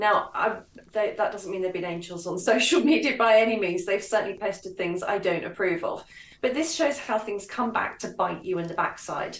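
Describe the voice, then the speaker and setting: A woman speaks in an ordinary speaking voice at a moderate pace, with medium pitch and ordinary pitch variation. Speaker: author and commentator. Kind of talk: radio interview, casual political discussion.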